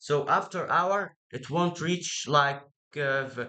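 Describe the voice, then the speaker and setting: Fairly high for a man, this male voice has a bright, sharp tone. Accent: Egyptian. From Egypt. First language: Arabic. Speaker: tech idea presenter. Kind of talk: casual explanation. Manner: halting, many fillers and repeats.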